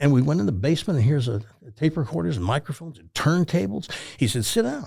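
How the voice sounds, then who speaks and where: A man speaks at a medium pitch, his tone dark and mellow and somewhat breathy. His intonation is lively on a very clean recording with a silent background. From Tennessee. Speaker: retired radio talk show host. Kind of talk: casual interview storytelling. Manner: animated.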